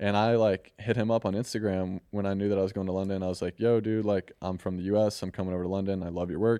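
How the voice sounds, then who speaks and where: This man talks very fast with an American accent, his fairly low pitch held in a flat, monotone intonation. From US Midwest, St. Louis, Missouri. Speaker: artist and designer. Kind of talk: casual chat.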